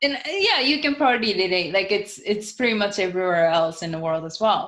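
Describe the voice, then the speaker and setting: Very fast speech from a woman with an American accent, medium in pitch and lively in intonation, with audible room echo. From Japan. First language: Japanese. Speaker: motivational speaker. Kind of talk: podcast interview.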